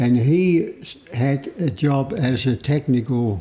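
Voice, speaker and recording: A man with a German accent speaks at a medium pitch. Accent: German accent in Australian English. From East Germany. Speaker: migrant telling his life story. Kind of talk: interview. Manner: halting.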